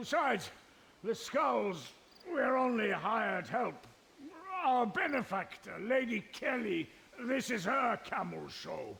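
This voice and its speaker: A man puts on a character voice pitched extremely high, speaking at a fairly slow pace with lively intonation and long, frequent pauses. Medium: video game. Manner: blustering.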